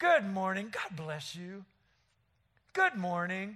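In a raised, projected voice with a bright, sharp tone, a man speaks at a high pitch and a fairly slow pace. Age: 60s. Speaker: lay preacher. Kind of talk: sermon. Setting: church.

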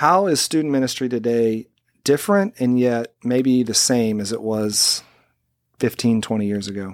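In a very clean recording with a silent background, a man with an ordinary speaking voice talks at a moderate pace with ordinary pitch variation. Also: medium pitch for a man. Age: 40s. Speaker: church podcast host. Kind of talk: casual chat. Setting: studio.

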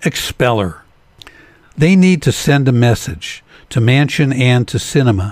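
A man talks fairly slowly in a somewhat breathy voice, with lively intonation. His loudness stays very even, broken by long, frequent pauses. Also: medium pitch for a man. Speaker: political commentator. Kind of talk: angry political rant, scripted opinion commentary. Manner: indignant, emphatic, biting sarcasm.

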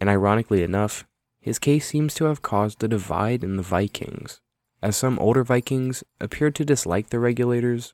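An ordinary speaking voice at a moderate pace with ordinary pitch variation, dry and close with no echo, on a very clean recording against a silent background. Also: man. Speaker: podcast host. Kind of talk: true-crime narration. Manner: measured, steady storytelling delivery; formal, factual, reads figures and court details.

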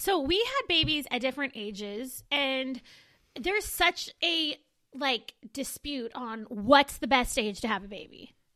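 At a fairly slow pace, a woman uses a raised, projected voice with a high pitch, a bright, sharp tone and lively intonation, in a very clean recording with a silent background. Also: big swings in loudness. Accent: American. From Southern California, Moreno Valley. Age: 30s. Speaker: podcast co-host. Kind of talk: casual chat.

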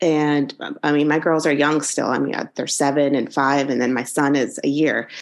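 A woman with an American accent speaks in a very deep, low pitch at a moderate pace. Her intonation is monotone and flat, with hardly any pauses. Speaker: college anatomy professor, former anesthesiologist. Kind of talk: interview, conversational.

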